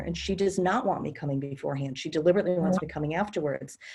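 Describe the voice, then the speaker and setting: Here a woman speaks in a somewhat breathy voice. Her pitch varies in an ordinary way. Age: 60s. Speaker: experienced house sitter and author. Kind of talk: casual group discussion.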